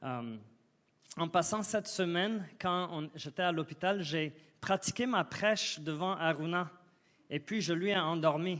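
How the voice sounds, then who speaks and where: A man speaks at a fairly slow pace, his pitch varying in an ordinary way. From Côte d'Ivoire. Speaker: guest preacher. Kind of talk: sermon. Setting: church. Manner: halting.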